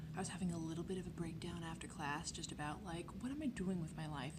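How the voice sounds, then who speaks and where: Very fast whispering over noticeable background noise. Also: woman. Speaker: college art student. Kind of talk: casual vlog talk to camera. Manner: whispered.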